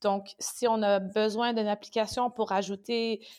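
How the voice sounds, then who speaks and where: A woman speaks with a Canadian French accent in a fairly high-pitched voice and monotone, flat intonation. The recording is very clean, with a silent background. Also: dry, close sound with no echo. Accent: Canadian French accent, noticeable. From Canada. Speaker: tech company partner manager. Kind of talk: interview.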